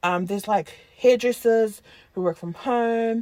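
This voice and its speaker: The speaker has a New Zealand accent. The recording is very clean, with a silent background. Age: 20s. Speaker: podcast co-host. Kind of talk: casual chat. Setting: in a car.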